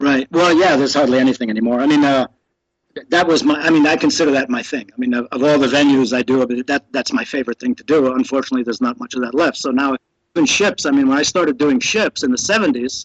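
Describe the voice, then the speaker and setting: At a very fast pace, a man talks with a fairly high pitch and ordinary pitch variation, in a dry, close sound with no echo. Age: 60s. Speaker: professional juggler. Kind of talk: casual chat. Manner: halting.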